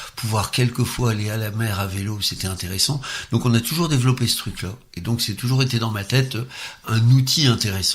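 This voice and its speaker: At a fairly quick pace, a man uses an ordinary speaking voice at medium pitch with ordinary pitch variation. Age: 60s. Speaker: former social worker, cycling enthusiast. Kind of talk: interview.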